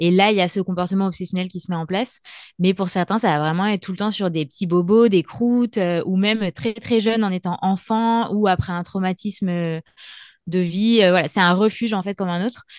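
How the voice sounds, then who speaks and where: A woman with a normal speaking voice talks at a fairly quick pace, her medium pitch held in fairly even intonation. The sound is dry and close with no echo, and the background is quiet. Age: 30s. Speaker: freelance communications writer and awareness advocate. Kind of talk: interview testimony.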